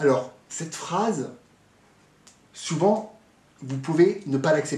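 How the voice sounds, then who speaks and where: There is audible room echo as a man talks in an animated tone with ordinary pitch variation. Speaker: fitness coach and motivational speaker. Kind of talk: motivational talk to camera.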